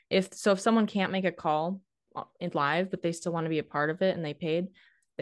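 In a North Dakota accent, a woman speaks at a fairly low pitch and a fairly quick pace with fairly even intonation. The background is quiet. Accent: northern US (North Dakota). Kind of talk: casual interview chat.

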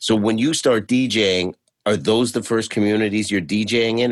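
The speaker uses an ordinary speaking voice at a moderate pace. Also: man. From Canada, Toronto. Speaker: podcast host and stand-up comedian. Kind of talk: interview.

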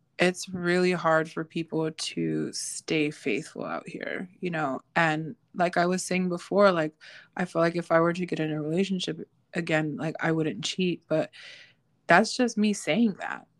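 A normal speaking voice from a woman, fairly low in pitch, with fairly even intonation and a fairly slow pace, in a dry, close sound with no echo and a very clean recording with a silent background. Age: 30s. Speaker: podcast co-host and baker. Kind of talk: casual chat.

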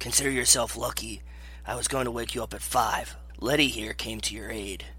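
A man's put-on character voice at a fairly quick pace, with clear background noise. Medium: read story.

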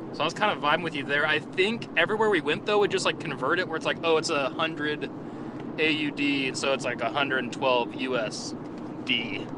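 Over noticeable background noise, a man talks at a fairly quick pace. His pitch is fairly high, with ordinary variation. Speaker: friend of the hosts. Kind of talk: voice memo. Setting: in a car.

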